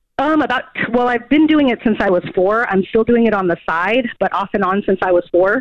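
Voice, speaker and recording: A woman's normal speaking voice, moderate in pace, with ordinary pitch variation. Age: 40s. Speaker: caller. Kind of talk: call-in radio conversation.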